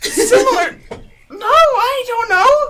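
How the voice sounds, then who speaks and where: Putting on a squeaky character voice, a man speaks at an extremely high pitch. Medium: actual play. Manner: exasperated, blunt.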